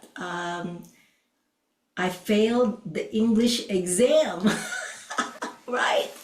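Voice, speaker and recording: A woman with a non-native accent, fairly high in pitch, at a very slow pace. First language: not English. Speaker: podcast co-host and Oriental medicine doctor. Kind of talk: podcast conversation. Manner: hesitant, with frequent fillers.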